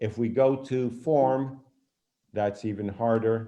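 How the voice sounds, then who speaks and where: A man's dark, mellow tone at medium pitch, with ordinary pitch variation. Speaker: design professor. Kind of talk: lecture.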